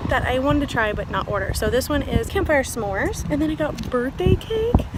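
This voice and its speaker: A woman talks at a fairly quick pace with a high pitch and lively intonation. Noticeable background noise runs underneath. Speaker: vlogger and amateur runner. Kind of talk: casual vlog narration.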